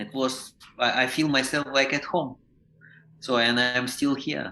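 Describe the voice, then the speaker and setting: A man with a non-native accent and medium pitch speaks in a monotone, flat intonation with big swings in loudness. Long, frequent pauses break up his speech over noticeable background noise. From Ukraine. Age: 50s. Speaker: professional clown and teacher. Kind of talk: podcast interview. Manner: halting, with many restarts.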